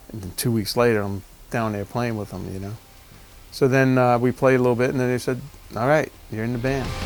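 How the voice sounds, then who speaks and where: Over background music, a man with a medium pitch and fairly even intonation talks at a fairly quick pace, broken by long, frequent pauses. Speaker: rock drummer. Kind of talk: interview answer. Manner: casual, conversational.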